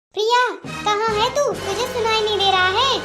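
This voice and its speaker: A woman uses a squeaky, extremely high-pitched put-on character voice with fairly even intonation as faint music plays in the background. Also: moderate pace, very even loudness. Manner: shouting angrily.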